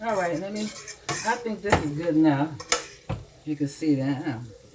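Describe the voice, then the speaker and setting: A man is heard with noticeable background noise. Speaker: home cook. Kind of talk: cooking tutorial. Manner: casual, chatty.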